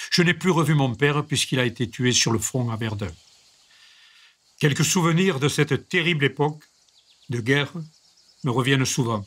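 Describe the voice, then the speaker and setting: A man speaks at a moderate pace with ordinary pitch variation, leaving long, frequent pauses. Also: fairly high pitch for a man. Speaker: reader. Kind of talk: reading aloud of a memoir.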